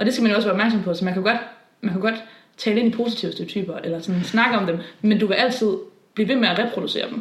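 Talking at a very fast pace, a woman with a fairly high pitch keeps her intonation fairly even, amid audible room echo and noticeable background noise. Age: 20s. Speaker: podcast co-host. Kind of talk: casual chat.

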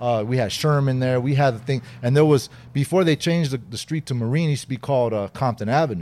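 Very fast and in an American accent, a man with a dark, mellow tone talks at medium pitch with ordinary pitch variation. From Southern California, Inglewood. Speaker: former gang member. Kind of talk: interview.

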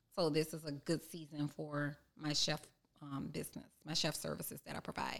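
This woman has a very deep, low pitch with vocal fry. Her intonation is monotone and flat. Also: moderate pace. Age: 40s. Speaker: chef and cookbook author. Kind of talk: casual interview.

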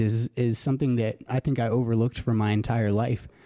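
A man with an American accent speaks at medium pitch and a moderate pace, with a dark, mellow tone and monotone, flat intonation, in a dry, close sound with no echo on a very clean recording with a silent background. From Colorado. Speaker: podcast host. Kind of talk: podcast intro monologue.

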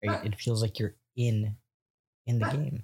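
A man speaks with a fairly low pitch and a dark, mellow tone. His voice is somewhat breathy. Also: very clean recording, silent background. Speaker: podcast host. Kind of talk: podcast interview. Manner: enthusiastic.

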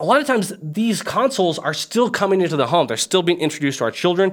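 Over a silent background in a very clean recording, a man talks fairly quickly at a high pitch. His tone is animated, with very wide pitch swings. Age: 30s. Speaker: gaming video host. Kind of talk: casual vlog monologue.

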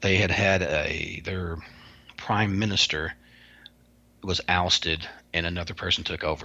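A man with a Kentucky accent speaks at a moderate pace in a very deep, low voice with a bright, sharp tone, his intonation monotone and flat, with long, frequent pauses. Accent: Southern US (Kentucky). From US South, Kentucky. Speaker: paranormal researcher and author. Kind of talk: interview.

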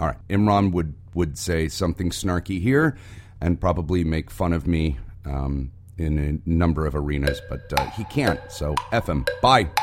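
Music plays in the background as a man speaks at a fairly slow pace with a very deep, low pitch. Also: ordinary pitch variation. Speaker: podcast co-host. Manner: sarcastic, brash.

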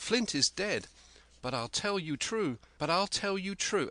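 Intonation is lively in an unforced reading voice.

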